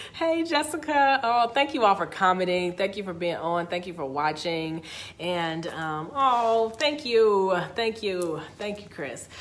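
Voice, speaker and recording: Animated and with very wide pitch swings, a woman with a medium-pitched voice talks fairly slowly with hardly any pauses. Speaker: motivational speaker. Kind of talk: live stream talk. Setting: social media live video.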